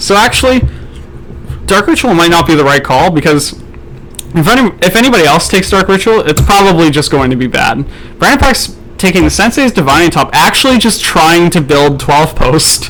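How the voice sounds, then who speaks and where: Over noticeable background noise, a man with a high pitch talks at a fairly quick pace, his loudness very even and his intonation lively. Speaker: draft commentator. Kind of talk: live commentary. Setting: live stream.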